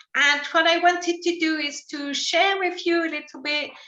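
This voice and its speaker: A woman with a slight French accent uses a raised, projected voice. Her tone is bright and sharp, and her pace is fairly slow. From France. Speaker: sight loss support worker. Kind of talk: talk to a group.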